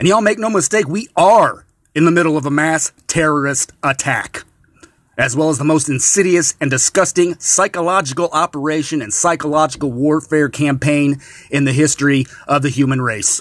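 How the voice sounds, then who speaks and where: A man has an ordinary speaking voice with a fairly high pitch. His pace is moderate. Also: ordinary pitch variation. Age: 40s. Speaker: podcast host. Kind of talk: solo monologue podcast.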